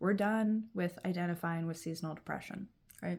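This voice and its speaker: A woman speaks in a medium pitch with ordinary pitch variation. Her voice is somewhat breathy and her pace moderate. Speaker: vlogger. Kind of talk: casual vlog monologue. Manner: projecting, speaking up. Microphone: no proper mic, built-in mic.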